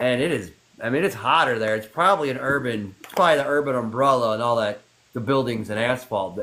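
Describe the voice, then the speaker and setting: A man talks in a normal speaking voice at a medium pitch. His pace is fairly quick. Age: 60s. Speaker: live stream host. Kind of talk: casual chat. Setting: TikTok live stream.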